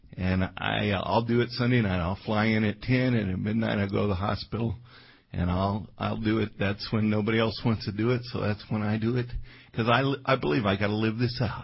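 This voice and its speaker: Somewhat breathy and very even in loudness, a man with an American accent speaks fairly quickly at a fairly low pitch. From Colorado. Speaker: pastor. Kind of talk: sermon. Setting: church. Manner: animated.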